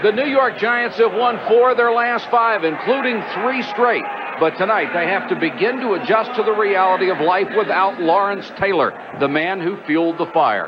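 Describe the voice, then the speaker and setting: A high-voiced man talks with ordinary pitch variation as noticeable background noise plays behind him. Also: moderate pace. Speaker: sportscaster. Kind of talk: live sports broadcast play-by-play.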